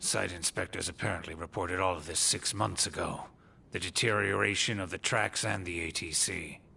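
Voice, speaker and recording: Over clear background noise, a man talks at a fairly quick pace in a put-on character voice with a very deep, low pitch. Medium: short film. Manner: smooth, knowing.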